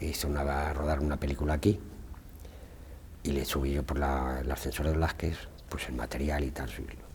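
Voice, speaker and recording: With noticeable background noise behind him, a man with a very deep, low voice speaks at a fairly quick pace and fairly even intonation. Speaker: retired museum carpenter and former lift operator. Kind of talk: oral history interview answer. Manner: casual, anecdotal.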